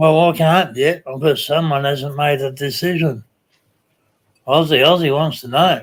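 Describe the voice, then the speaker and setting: Speaking at a fairly slow pace with fairly even intonation, in a Tasmanian accent. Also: man, fairly high pitch for a man. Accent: Australian (Tasmanian). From Tasmania, Australia. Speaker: live stream host. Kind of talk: casual chat.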